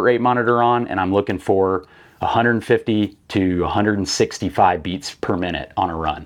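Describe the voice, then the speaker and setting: It is a plain, everyday voice. The pace is moderate, with ordinary pitch variation. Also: man. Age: 30s. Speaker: fitness coach and hunter, former navy rescue swimmer. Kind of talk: casual chat. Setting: studio.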